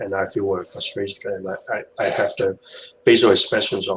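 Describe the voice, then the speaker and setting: Noticeable background noise sits under a man's speech, which moves at a moderate pace. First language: not English. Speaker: hangout participant sharing experience. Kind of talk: video hangout discussion. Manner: halting, many fillers and repetitions.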